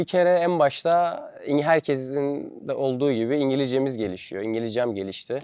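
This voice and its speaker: Here is a plain, everyday voice. A man speaks at a moderate pace and a medium pitch. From Turkey. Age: 20s. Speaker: vlogger. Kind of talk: casual vlog monologue.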